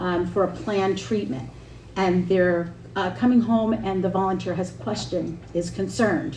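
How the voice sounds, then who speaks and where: Audible room echo surrounds a woman speaking at medium pitch and a moderate pace. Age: 50s. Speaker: senior services nonprofit representative. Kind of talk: public presentation at town board meeting. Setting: town board meeting. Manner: halting.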